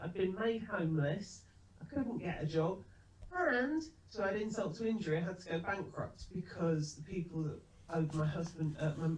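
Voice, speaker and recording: A woman talks at a moderate pace with ordinary pitch variation and a fairly low pitch. Audible echo fills the room. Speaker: business trainer. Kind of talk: webinar presentation. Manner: calm.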